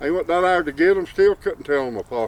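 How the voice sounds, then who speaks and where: A high-pitched man with an Appalachian accent. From Appalachian mountains. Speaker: storyteller. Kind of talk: folk tale telling.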